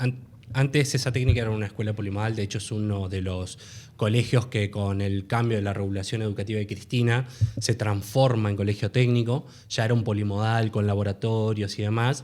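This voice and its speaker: A man with an ordinary speaking voice talks at a fairly quick pace, his intonation fairly even. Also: fairly low pitch for a man. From Argentina, Buenos Aires western suburbs (Merlo). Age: 30s. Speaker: food technologist, university student. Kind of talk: casual interview.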